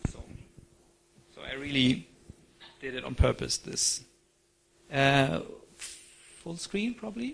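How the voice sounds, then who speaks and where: Speaking very slowly with a German accent, a man uses a fairly high pitch, very wide pitch swings, big swings in loudness, and long, frequent pauses. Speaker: conference speaker. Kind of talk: lecture.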